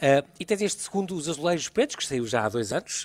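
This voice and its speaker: Talking at a fairly quick pace, a man with a plain, everyday voice uses lively intonation in a dry, close sound with no echo. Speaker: radio host. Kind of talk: radio interview. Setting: live broadcast from a venue.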